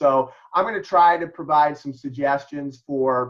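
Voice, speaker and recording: A man with a Chicago accent speaks at a fairly slow pace in a fairly high pitch. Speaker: mediator and lawyer. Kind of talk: presentation. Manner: halting, many fillers.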